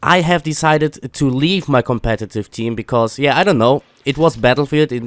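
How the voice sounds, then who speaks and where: A man with a German accent speaks at a fairly high pitch with lively intonation, in a dry, close sound with no echo. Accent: German accent, noticeable. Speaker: gaming YouTuber. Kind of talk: casual commentary. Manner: halting, many fillers.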